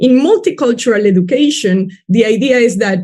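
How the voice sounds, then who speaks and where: A woman with a Spanish accent, dark and mellow in tone, somewhat breathy, with ordinary pitch variation at a moderate pace. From Peru. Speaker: education researcher. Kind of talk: webinar panel talk.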